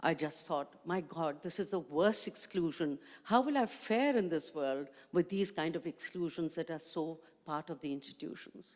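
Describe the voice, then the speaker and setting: A woman with a Pakistani accent, fairly low in pitch, at a moderate pace with ordinary pitch variation. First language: Urdu. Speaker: education activist, panelist. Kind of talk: panel discussion.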